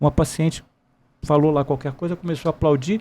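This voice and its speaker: A man's dark, mellow, somewhat breathy voice at a fairly high pitch moves at a fairly quick pace with ordinary pitch variation, on a very clean recording with a silent background. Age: 60s. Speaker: military police gynecologist, retired colonel. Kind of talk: podcast interview.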